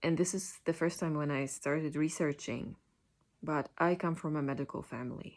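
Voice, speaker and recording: In a Polish accent, a woman speaks at a moderate pace with a very deep, low pitch. Her intonation is fairly even, on a very clean recording with a silent background. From Poland. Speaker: patient sharing illness story. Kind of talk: personal testimony. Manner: halting, many fillers and restarts.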